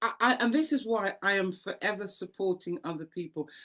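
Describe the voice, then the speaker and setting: A woman speaks at a medium pitch and a moderate pace. Her tone is animated and her intonation lively. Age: 60s. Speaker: actor and charity founder. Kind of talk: interview testimony.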